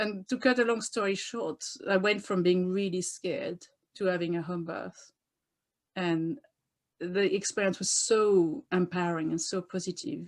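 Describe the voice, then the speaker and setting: At a moderate pace and medium pitch, a woman speaks with ordinary pitch variation on a very clean recording with a silent background. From France. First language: French. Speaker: doula and author. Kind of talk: interview. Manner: animated.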